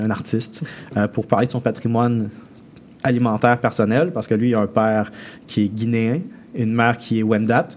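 The man talks in a medium pitch, keeping a moderate pace. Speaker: chef. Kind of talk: radio interview. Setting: radio studio.

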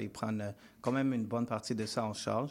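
On a very clean recording with a silent background, the speaker keeps to a moderate pace. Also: man. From Montreal West Island, Haitian family. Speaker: musician. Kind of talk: radio interview. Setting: radio studio.

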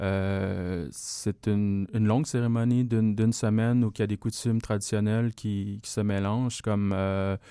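On a very clean recording with a silent background, a man speaks in a dark, mellow tone at a fairly low pitch. His fairly slow delivery is monotone and flat, with hardly any pauses. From Laos. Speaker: electronic music artist. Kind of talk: radio interview.

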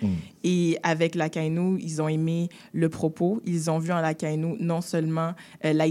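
In a very clean recording with a silent background, a woman with a fairly low pitch and a dark, mellow tone speaks at a very slow pace. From Quebec, Haitian family. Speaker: actress and screenwriter. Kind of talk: interview.

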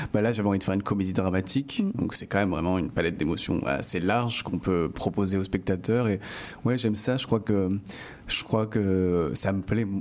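A man with an ordinary speaking voice talks at a fairly quick pace. His pitch variation is ordinary and his loudness very even. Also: fairly low pitch for a man. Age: 20s. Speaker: film director. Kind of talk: interview.

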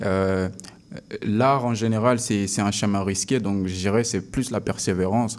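A man with an ordinary speaking voice talks at a fairly slow pace and fairly low pitch, his intonation fairly even, on a very clean recording with a silent background. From Congo. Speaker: rapper. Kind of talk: interview. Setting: studio.

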